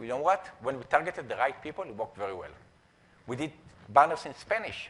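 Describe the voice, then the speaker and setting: A man's very fast, fairly high voice in an Israeli accent, with very wide pitch swings and big swings in loudness. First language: Hebrew. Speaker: entrepreneur and conference speaker. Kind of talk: conference talk. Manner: halting, many fillers.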